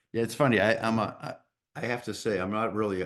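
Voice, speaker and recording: This man speaks with a Boston accent and lively intonation. The background is quiet. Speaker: podcast host. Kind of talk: casual interview chat.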